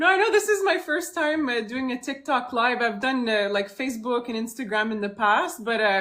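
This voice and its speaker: A woman talks with a Franco-Ontarian accent. Her pace is moderate. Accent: Franco-Ontarian Canadian English. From Timmins, northern Ontario, Canada. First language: French. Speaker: singer-songwriter. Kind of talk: interview. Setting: TikTok live stream from home. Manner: hesitant, many fillers.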